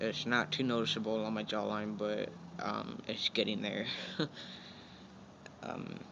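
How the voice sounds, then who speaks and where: Delivery is fairly slow and monotone, with flat intonation and long, frequent pauses. Room echo is audible. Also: man, fairly low pitch for a man. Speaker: vlogger. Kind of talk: casual vlog update. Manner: halting, many fillers.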